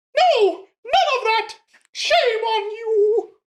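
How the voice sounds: A woman puts on a character voice. It sits at an extremely high pitch.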